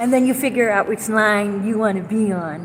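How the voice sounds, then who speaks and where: A woman speaks loudly. Audible room echo and noticeable background noise surround her voice. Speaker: vlogger. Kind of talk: casual monologue vlog. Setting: inside a store.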